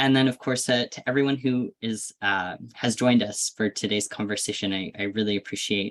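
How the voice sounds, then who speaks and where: A man's unremarkable speaking voice, medium in pitch with ordinary pitch variation, in a dry, close sound with no echo. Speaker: event moderator. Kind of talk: closing remarks of virtual panel.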